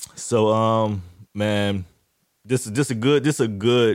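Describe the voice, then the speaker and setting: This man speaks with an American accent at a fairly slow pace. His pitch varies in an ordinary way. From Jacksonville, Florida. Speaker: sports podcast host. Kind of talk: casual solo sports talk. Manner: hesitant, many fillers and repeats.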